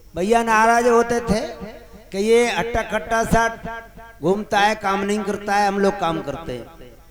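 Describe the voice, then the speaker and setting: A man's high-pitched voice with ordinary pitch variation, over noticeable background noise. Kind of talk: religious discourse, storytelling to a live audience.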